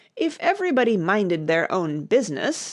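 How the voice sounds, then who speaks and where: Growling and hoarse, a woman performs a put-on character voice at medium pitch and a moderate pace with very wide pitch swings. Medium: read story. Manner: blunt, snappish.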